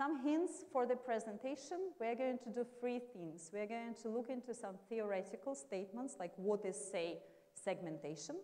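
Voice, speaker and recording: A woman with a Russian accent speaks at a moderate pace in a fairly high voice with very wide pitch swings. The room echo is audible and the background noise is noticeable. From Russia, Moscow. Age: 40s. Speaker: marketing executive. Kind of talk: lecture.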